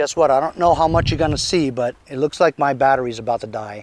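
A man talks at a fast pace. His pitch varies in an ordinary way. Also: medium pitch for a man.

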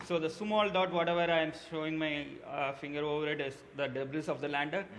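Light background noise accompanies a man speaking at a very fast pace. His pitch is fairly high and his intonation fairly even. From India, Tamil Nadu (Madurai); Tamil Nadu, India. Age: 30s. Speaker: mechanical engineer, amateur space enthusiast; interviewee. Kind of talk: news interview. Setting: small lab. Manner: halting, frequent fillers. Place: home room. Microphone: handheld.

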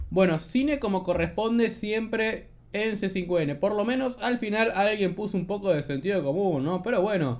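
A man's high-pitched voice with lively intonation and hardly any pauses. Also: moderate pace. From Argentina. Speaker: political commentary youtuber. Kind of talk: casual commentary on news clips. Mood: sarcastic, mocking.

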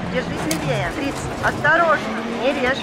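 Noticeable background noise can be heard throughout. Over it, a woman talks. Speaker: rally co-driver voice. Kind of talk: rally pacenote calls.

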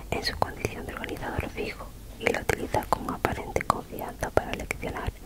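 A woman whispering at a fairly quick pace. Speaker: reader. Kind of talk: soft reading aloud, ASMR style. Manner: close-mic semi-inaudible whisper reading. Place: home room. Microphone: handheld.

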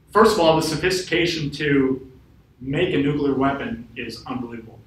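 A man speaks in a fairly high pitch with an American accent. Audible room echo surrounds his voice. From northern Wisconsin. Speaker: FBI special agent; guest. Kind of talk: invited talk. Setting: room with live audience. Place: classroom. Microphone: camera far.

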